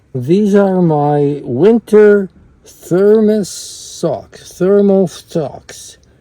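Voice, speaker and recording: A man speaks with lively intonation and a high pitch. Noticeable background noise is present. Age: 80s+. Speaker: vlogger. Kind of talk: casual vlog.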